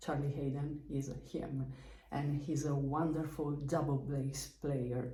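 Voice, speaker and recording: A woman's very deep, low voice in a strong Lombard accent, monotone and flat, at a very slow pace, with noticeable background noise and audible room echo. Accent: strong Bergamo Italian. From northern Italy, Bergamo. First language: Italian. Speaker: musician, double bass player. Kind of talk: casual explainer video about music history. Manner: slow, hesitant with many fillers.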